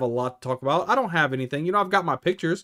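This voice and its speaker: A loud man with a bright, sharp tone and lively intonation at a very fast pace, in a very clean recording with a silent background. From Louisiana, New Orleans area. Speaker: YouTuber, Disney travel vlogger. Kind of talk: casual live stream chat. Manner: casual, off-the-cuff.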